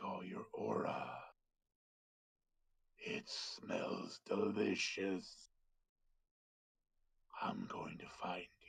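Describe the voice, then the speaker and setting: A put-on character voice, raspy and menacing, drags along at a very slow pace with long, frequent pauses. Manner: menacing, predatory.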